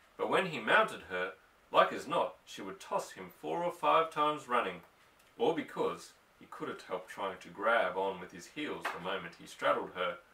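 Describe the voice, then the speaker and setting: A man at a moderate pace with big swings in loudness and noticeable background noise. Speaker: audiobook reader. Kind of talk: novel reading.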